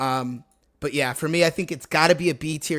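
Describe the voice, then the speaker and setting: A man with an American accent speaks with a fairly high pitch and ordinary pitch variation. The recording is very clean, with a silent background. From Washington DC area. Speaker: sports YouTuber. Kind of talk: casual commentary video. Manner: fast; halting, many fillers.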